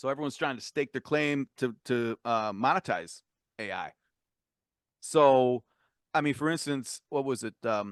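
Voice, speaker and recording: Speech with ordinary pitch variation and long, frequent pauses sounds dry and close with no echo against a quiet background. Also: man, medium pitch for a man. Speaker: co-host of tech talk show. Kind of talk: casual chat. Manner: fast.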